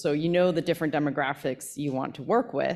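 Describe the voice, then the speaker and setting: A woman speaks at a very fast pace. Her voice is very deep and low, on a very clean recording with a silent background. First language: Spanish. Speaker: panel moderator. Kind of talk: panel discussion. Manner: halting.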